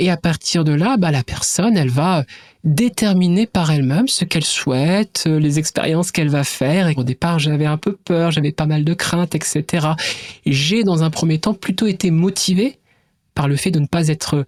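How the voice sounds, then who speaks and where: At a moderate pace, a woman with a fairly low voice keeps her loudness very even while her pitch varies in an ordinary way. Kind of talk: educational podcast interview. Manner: hesitant, with fillers.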